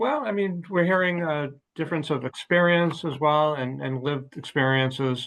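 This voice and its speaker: With an ordinary speaking voice, a man talks at a moderate pace and a fairly high pitch, showing ordinary pitch variation. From Massachusetts, Watertown. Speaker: city council candidate. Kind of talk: political debate. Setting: video call.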